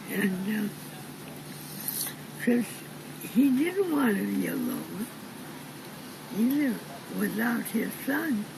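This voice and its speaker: A woman speaks very slowly with long, frequent pauses over noticeable background noise. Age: 80s+. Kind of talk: interview answer.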